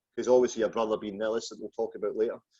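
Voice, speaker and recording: A man with a Glaswegian accent speaks in a dark, mellow tone. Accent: Glaswegian Scottish. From Scotland, just outside Glasgow. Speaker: podcast host. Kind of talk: interview.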